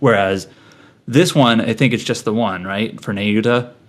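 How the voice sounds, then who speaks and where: A man with an unremarkable speaking voice, fairly even intonation and a fairly quick pace. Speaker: podcast co-host. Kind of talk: casual chat.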